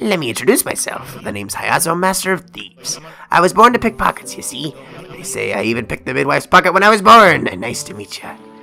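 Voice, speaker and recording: Over clear background music, a man puts on a high-pitched character voice, talking very fast with very wide pitch swings. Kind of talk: swaggering pirate speech. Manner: boastful, playful.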